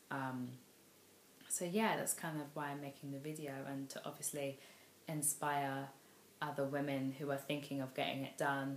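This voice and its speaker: A woman with a London accent and a very deep, low pitch, monotone and flat, at a moderate pace with long, frequent pauses, in audible room echo. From London, England. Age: 20s. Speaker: vlogger. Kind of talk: vlog monologue. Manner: hesitant, many fillers.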